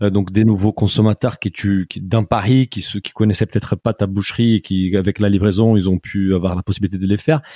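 A man speaks at a fairly quick pace with hardly any pauses, his fairly low voice dark and mellow, the intonation fairly even and the sound dry and close with no echo. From Brazil. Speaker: podcast co-host. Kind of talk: casual interview.

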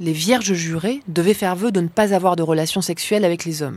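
In a very clean recording with a silent background, a woman with a normal speaking voice talks at a fairly quick pace, medium pitch and ordinary pitch variation. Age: 30s. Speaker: documentary reporter and filmmaker. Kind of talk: scripted narration.

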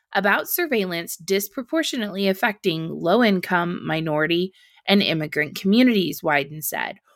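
A woman with an unremarkable speaking voice, medium pitch and lively intonation on a very clean recording with a silent background. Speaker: podcast host. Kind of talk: news commentary reading headlines aloud with snarky asides. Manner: brisk, clear newsreader delivery, sarcastic and pointed on asides; formal, even tone when reading quoted statements.

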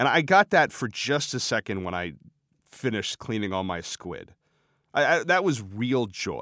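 In a very clean recording with a silent background, a man speaks at a moderate pace, his medium-pitched voice swinging very widely in pitch. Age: 30s. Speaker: writer, former restaurant apprentice. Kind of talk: interview. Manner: halting, repeats words.

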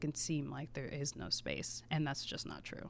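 With an American accent and some vocal fry, a woman talks at a moderate pace on a very clean recording with a silent background. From Maryland, near Washington DC. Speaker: food writer and podcast host. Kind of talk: casual interview chat.

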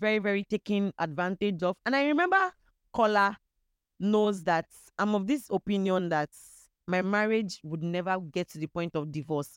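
A woman with a Nigerian accent, medium pitch, ordinary pitch variation and a moderate pace. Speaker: podcast guest sharing personal story. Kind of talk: personal testimony in casual chat.

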